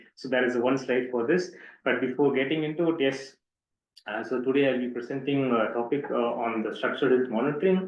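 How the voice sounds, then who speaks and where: There is audible room echo around a man's voice. He has a medium pitch and a fairly quick pace. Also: ordinary pitch variation. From southern India, Pondicherry. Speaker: doctoral researcher. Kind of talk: lecture. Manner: fast.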